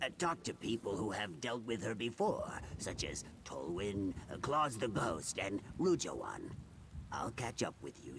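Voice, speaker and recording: Using a put-on character voice, a man speaks at a moderate pace and a fairly low pitch. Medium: video game. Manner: smooth, persuasive.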